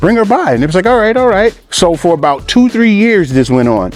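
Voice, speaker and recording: Music plays in the background as a man with a New York accent talks at a very fast pace. His tone is animated, and his pitch swings very widely. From New York, Long Island and Poughkeepsie. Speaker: graffiti artist. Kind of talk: casual interview.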